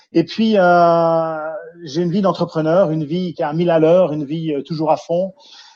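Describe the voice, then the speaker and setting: Against a quiet background, a man with a Jura accent talks at a moderate pace in a dark, mellow tone, his pitch high for a man and his intonation monotone and flat. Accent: Swiss French (Jura). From Switzerland, Jura region. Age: 50s. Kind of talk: interview. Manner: hesitant, many fillers and repetitions.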